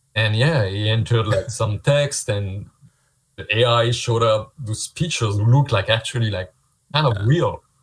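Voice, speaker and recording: In a French accent, a man speaks at medium pitch and a moderate pace. His voice is somewhat breathy with ordinary pitch variation. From France. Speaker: visual effects artist. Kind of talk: casual interview. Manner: halting.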